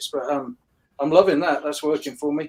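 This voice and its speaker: A man with a London accent. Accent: British (London). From London, England (Hammersmith). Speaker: disc golf shop co-owner. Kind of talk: podcast interview. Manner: halting, many fillers.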